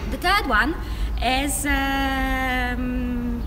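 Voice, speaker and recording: A woman with a Polish accent amid noticeable background noise. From Poland. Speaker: community organization leader. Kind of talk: prepared presentation. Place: street. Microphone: camera far.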